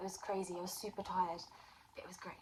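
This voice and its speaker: A woman speaks over noticeable background noise. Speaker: vlogger and aspiring crime writer. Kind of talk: casual vlog.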